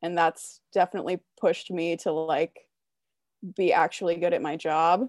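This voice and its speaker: A woman's fairly low voice at a moderate pace, a plain, everyday voice with fairly even intonation, dry and close with no echo, on a very clean recording over a silent background. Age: 20s. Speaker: hockey writer. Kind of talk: casual chat.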